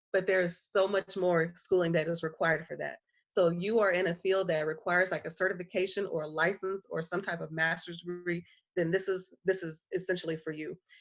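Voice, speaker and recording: The speaker is a woman with a fairly brisk delivery. Her intonation stays flat and monotone. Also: fairly low pitch for a woman. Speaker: university graduate recruitment officer. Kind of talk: online information session presentation. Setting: live online session from home guest room. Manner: fast.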